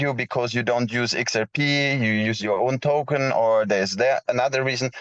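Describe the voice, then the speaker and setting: Speaking with a non-native accent, a man holds a medium pitch with ordinary variation at a moderate pace, the sound dry and close with no echo. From Switzerland. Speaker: blockchain project founder. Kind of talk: round table discussion. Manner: halting.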